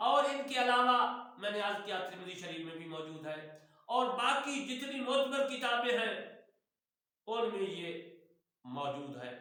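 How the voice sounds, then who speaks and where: Audible room echo surrounds a man's raised, projected voice at an extremely high pitch with a bright, sharp tone. His pitch swings very widely, and he leaves long, frequent pauses. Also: big swings in loudness. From Punjab, Pakistan. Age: old. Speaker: retired imam and religious teacher. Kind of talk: religious instruction.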